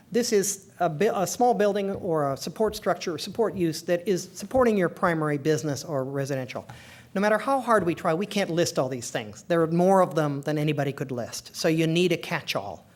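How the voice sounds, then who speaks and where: The speech comes with hardly any pauses on a very clean recording with a silent background. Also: fairly quick pace. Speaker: zoning code consultant. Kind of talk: public presentation. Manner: fast.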